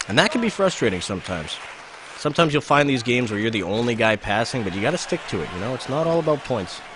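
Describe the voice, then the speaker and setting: A very fast man's voice in a Manitoban accent, medium in pitch with very wide pitch swings, over noticeable background noise. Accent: Canadian (Manitoba). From Canada, Winnipeg. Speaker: video game streamer. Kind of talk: live gameplay commentary. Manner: casual, animated.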